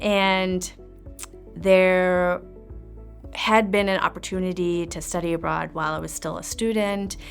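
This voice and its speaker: With music in the background, a speaker with a German accent talks at a fairly slow pace. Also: woman. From East Germany. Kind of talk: interview answer.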